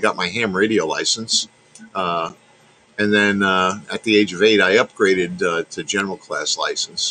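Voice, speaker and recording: A man speaks in a New York accent. His pace is moderate. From New York, Long Island. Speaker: radio technician, ham radio operator. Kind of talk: casual chat. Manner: halting, many fillers.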